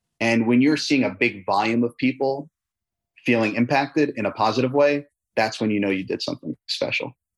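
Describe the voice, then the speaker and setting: Talking at a fairly quick pace, a man with an ordinary speaking voice holds a medium pitch and ordinary pitch variation in a dry, close sound with no echo. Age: 30s. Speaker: tire company founder and CEO. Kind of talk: interview.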